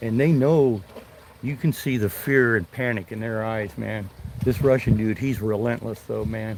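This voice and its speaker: A man with a medium pitch uses an ordinary speaking voice, talking at a moderate pace. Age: 60s. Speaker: retired fishing livestreamer, navy veteran. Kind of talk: casual live stream chat while fishing.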